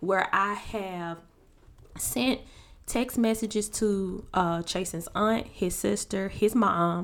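This woman's pitch is medium. She talks very slowly. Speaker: podcast co-host. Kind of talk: casual chat. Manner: calm.

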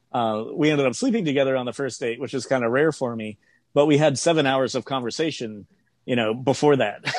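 A man's medium-pitched voice at a moderate pace, with ordinary pitch variation and a quiet background. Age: 30s. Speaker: self-employed music worker, podcast guest. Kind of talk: casual interview chat. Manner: halting, many fillers.

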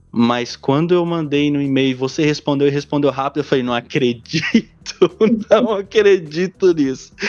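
This man's pitch sits fairly high, with ordinary variation. He keeps a moderate pace. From Brazil, São Paulo (Diadema). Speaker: podcast host. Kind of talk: casual interview.

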